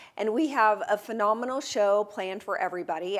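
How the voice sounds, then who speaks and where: In a very clean recording with a silent background, a woman with an American accent speaks at a moderate pace in an unremarkable speaking voice, her medium pitch showing ordinary variation. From Texas. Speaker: real estate show host. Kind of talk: interview. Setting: studio.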